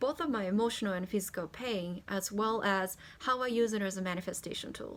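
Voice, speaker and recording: A woman talks at a fairly quick pace with a Japanese accent. Her pitch is medium. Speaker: spiritual content creator and singer. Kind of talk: personal introduction vlog.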